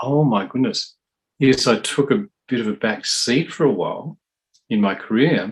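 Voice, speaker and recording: Lively intonation rides over a moderate pace in this voice with an Australian accent. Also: man. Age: 60s. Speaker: drummer and percussionist. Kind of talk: interview.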